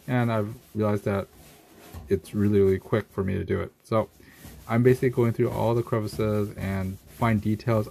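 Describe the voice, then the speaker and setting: A man's plain, everyday voice, fairly low in pitch, moderate pace, fairly even intonation, light background noise. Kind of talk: tutorial. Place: bathroom. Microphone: phone near.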